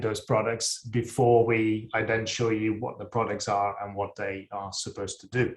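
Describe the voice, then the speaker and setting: A man at a moderate pace, medium in pitch and somewhat breathy, with monotone, flat intonation, on a very clean recording with a silent background. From Netherlands. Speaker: sports nutrition scientist. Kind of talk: presentation. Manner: halting, many fillers.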